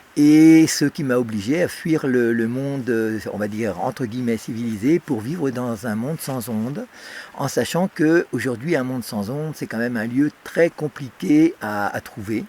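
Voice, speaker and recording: A man at a medium pitch, fairly slow, with ordinary pitch variation over noticeable background noise. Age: 60s. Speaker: electrosensitive whistleblower. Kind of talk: interview testimony. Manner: halting, many fillers.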